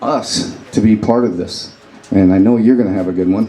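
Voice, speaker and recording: A man's fairly low pitch and fairly even intonation, with noticeable background noise and audible room echo. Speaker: audience member, military veteran. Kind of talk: audience question. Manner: loud.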